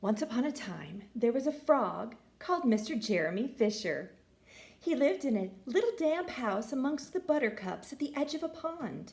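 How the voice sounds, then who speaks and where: A high-pitched woman's voice with very wide pitch swings amid noticeable background noise. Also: moderate pace. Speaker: teacher. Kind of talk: children's story reading.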